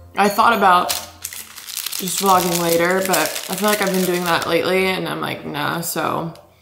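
Faint music plays in the background as a woman speaks at a fairly slow pace in a fairly low pitch. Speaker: vlogger. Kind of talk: casual vlog chat. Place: kitchen. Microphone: camera far.

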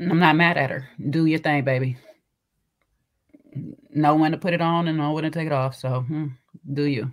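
A woman speaks at a moderate pace in a very deep, low voice with fairly even intonation. She leaves long, frequent pauses against a quiet background. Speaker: livestream show host. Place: home room. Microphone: video call.

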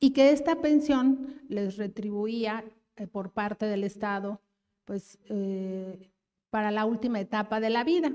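A woman talks very slowly with a fairly high pitch. The background is quiet. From Mexico City (Iztapalapa); Mexico City. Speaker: government official; speaker. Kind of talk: public speech at a forum. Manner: halting with fillers. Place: hall. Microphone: handheld.

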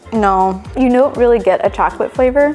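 A woman talks at a fairly quick pace. Faint music plays in the background. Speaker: food reviewer. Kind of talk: casual vlog chat. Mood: curious, mildly unimpressed. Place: kitchen. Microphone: lapel.

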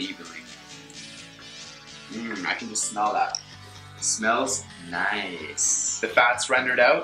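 A man speaks with clear music playing behind him. The room's echo is easy to hear. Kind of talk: tutorial. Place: kitchen.

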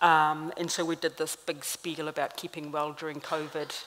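A woman talks at a very deep, low pitch in a monotone, flat intonation. Light background noise is present. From New Zealand, Māori. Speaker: clinical psychologist and lecturer. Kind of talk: panel talk. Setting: stage with audience. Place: stage. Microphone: podium.

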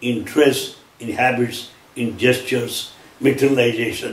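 A man with an Indian accent is heard with audible room echo. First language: Telugu. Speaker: lecturer on Sai Baba teachings. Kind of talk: lecture. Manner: formal. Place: home room.

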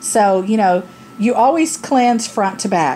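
Over light background noise, a woman speaks very slowly with lively intonation. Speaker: product reviewer. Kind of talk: casual product review vlog. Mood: candid, humorous. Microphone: phone near.

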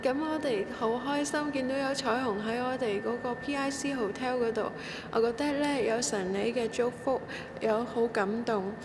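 Against clear background noise, a woman speaks at a moderate pace with a fairly high pitch and fairly even intonation.

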